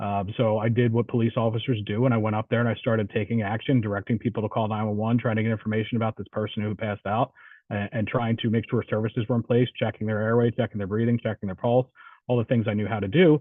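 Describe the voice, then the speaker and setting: With a New Jersey accent, a man speaks at a very fast pace. His medium-pitched voice has a monotone, flat intonation. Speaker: police officer and instructor. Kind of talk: Q&A answer in online training session.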